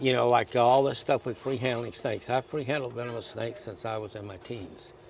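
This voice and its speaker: Amid noticeable background noise, a man talks at a fairly quick pace and medium pitch, with fairly even intonation and big swings in loudness. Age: 70s. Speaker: reptile breeder. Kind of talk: casual chat.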